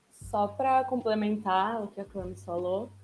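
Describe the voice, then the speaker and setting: A woman of medium pitch keeps her speech at a moderate pace. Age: 20s. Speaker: international relations graduate. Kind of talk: casual discussion panel.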